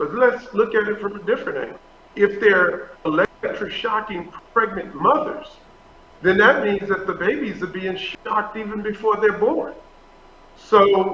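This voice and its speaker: Over noticeable background noise, a man with a high pitch speaks in a raised, projected voice. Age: 60s. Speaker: pastor. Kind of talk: interview.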